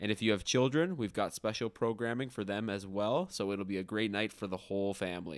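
In a Canadian accent, a man speaks with a normal speaking voice at a fairly low pitch, with ordinary pitch variation and hardly any pauses, on a very clean recording with a silent background. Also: fairly quick pace. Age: 20s. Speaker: podcast co-host, designer. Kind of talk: casual chat.

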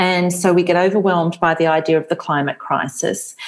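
A woman talks at a moderate pace and a medium pitch. She has an unremarkable speaking voice. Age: 40s. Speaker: author. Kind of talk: interview.

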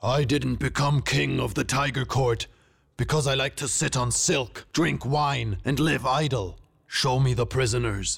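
On a very clean recording with a silent background, a man does a put-on character voice at medium pitch, with a fairly bright tone, a slightly husky edge and vocal fry. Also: ordinary pitch variation, fairly slow pace.

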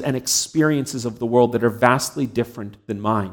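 A man speaks in a plain, everyday voice with a Canadian accent. His pace is moderate and his pitch variation ordinary. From Canada. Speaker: pastor. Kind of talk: sermon.

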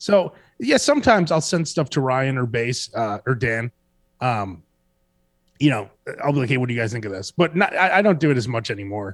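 In a Chicago accent, a man talks at a fairly quick pace with lively intonation and long, frequent pauses. The recording is very clean, with a silent background. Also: medium pitch for a man. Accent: Chicago American. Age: 40s. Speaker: radio host. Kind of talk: casual chat.

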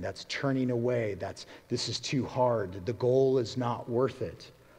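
This man's voice is somewhat breathy. His pitch sits in the medium range. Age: 40s. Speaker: pastor. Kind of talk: sermon.

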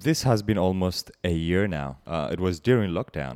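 Speaking at a moderate pace, this man has lively intonation. His pitch is very deep and low. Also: very clean recording, silent background. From Eritrea. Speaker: community leader. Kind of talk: personal testimony interview.

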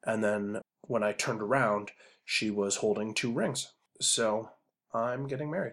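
A man at a medium pitch, with a plain, everyday voice, ordinary pitch variation and a fairly slow pace, on a very clean recording with a silent background. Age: 40s. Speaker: podcast host. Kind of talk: casual monologue.

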